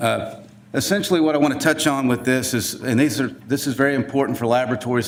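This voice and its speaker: A man with a Southern US accent talks very fast at a medium pitch with ordinary pitch variation, and audible room echo surrounds his voice. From US South. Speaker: forensic DNA scientist. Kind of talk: conference presentation. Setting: conference room with audience. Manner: casual, with many fillers.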